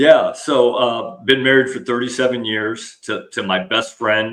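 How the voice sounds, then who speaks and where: This is a plain, everyday voice. The pace is fairly slow. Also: man. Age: 60s. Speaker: retired army officer and leadership speaker. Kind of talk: podcast interview.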